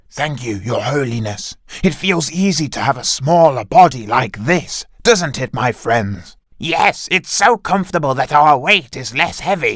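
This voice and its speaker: In a cartoonish character voice, a man speaks at a fairly high pitch and a moderate pace. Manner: earnest, plotting.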